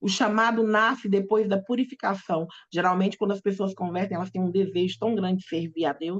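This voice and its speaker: A woman speaks with a Brazilian accent and ordinary pitch variation. Her voice is somewhat breathy. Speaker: pastor. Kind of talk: sermon. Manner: halting.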